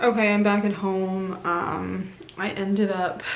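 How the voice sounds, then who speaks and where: The speech is monotone and flat, heard with audible room echo and noticeable background noise. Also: woman. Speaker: lifestyle vlogger. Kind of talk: vlog talk to camera. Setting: at home. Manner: casual, lots of filler words.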